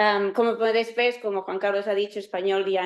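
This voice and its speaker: This is a woman speaking. She has a Catalan accent. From Catalonia, Spain (Terrassa, near Barcelona). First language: Catalan (speaking Spanish). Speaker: university professor. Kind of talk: lecture. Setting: lecture hall with live and online audience. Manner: halting.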